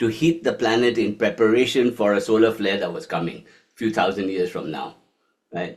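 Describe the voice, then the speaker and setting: Speaking at a moderate pace, a man keeps his intonation lively. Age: 60s. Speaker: yoga and meditation teacher. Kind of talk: lecture. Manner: animated.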